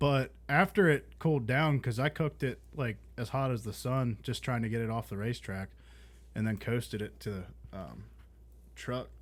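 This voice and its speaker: A man's voice is somewhat breathy, with ordinary pitch variation. The recording is very clean, with a silent background. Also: medium pitch for a man, moderate pace. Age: 20s. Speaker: podcast co-host, car enthusiast. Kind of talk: casual chat.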